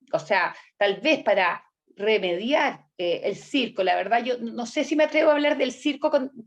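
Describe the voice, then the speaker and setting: With a Chilean accent, a woman talks at a fairly slow pace in a high pitch with lively intonation. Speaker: political candidate and host. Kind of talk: interview conversation. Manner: halting, with restarts.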